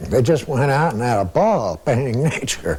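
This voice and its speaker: Noticeable background noise runs behind speech at a moderate pace. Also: man. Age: 70s. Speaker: painter. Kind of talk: interview. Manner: casual.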